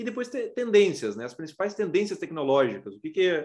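A man talks against a quiet background. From Rio Grande do Sul, Brazil. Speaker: aerospace engineering professor. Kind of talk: lecture. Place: home room. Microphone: webcam.

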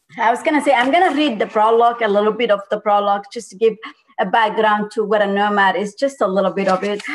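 Her words come out very fast, and the woman's pitch varies in an ordinary way. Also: fairly high pitch for a woman. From Somalia. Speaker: author. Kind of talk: book talk interview.

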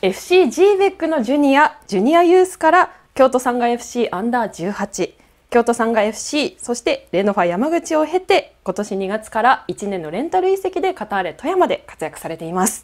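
Against a quiet background, a woman talks at a high pitch with very wide pitch swings. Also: moderate pace. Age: 20s. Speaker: TV announcer. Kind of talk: interview; scripted narration. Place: studio. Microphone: lapel.

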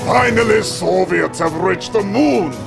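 A man puts on a character voice with vocal fry, pitched high at a fairly slow pace. His pitch variation is ordinary, and music plays clearly in the background.

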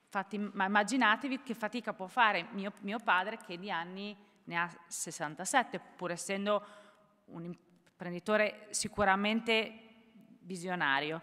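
A woman speaks at a fairly slow pace in a bright, sharp tone. Her loudness swings widely against a quiet background. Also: ordinary pitch variation. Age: 40s. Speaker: entrepreneur; panelist. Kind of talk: panel discussion. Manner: hesitant, many fillers. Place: hall. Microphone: podium.

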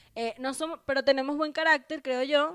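With a Venezuelan accent, a woman is speaking. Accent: Venezuelan Spanish, drops final s. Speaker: comedian and podcast co-host, former radio presenter; comedian, podcast co-host, radio presenter. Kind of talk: casual chat. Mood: playful, joking. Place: home room. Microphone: handheld.

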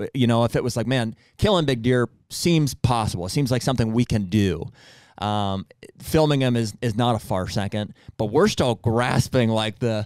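This man talks at a moderate pace with a medium pitch. The sound is dry, with no echo. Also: ordinary pitch variation, quiet background. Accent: Pennsylvania. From Pennsylvania. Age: 30s. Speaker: hunting podcast host. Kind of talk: casual chat. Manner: halting. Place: studio. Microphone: studio mic.

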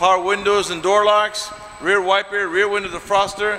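A man speaks in a raised, projected voice over light background noise. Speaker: car salesman. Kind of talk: product walkaround commentary. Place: shop. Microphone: phone near.

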